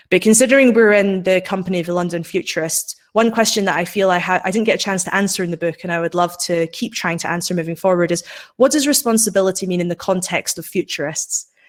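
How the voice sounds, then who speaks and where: Speaking with a Scottish accent, a woman races along at a very fast pace with hardly any pauses and ordinary pitch variation. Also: medium pitch for a woman. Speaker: science and technology writer, author. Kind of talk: panel discussion. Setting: live webinar.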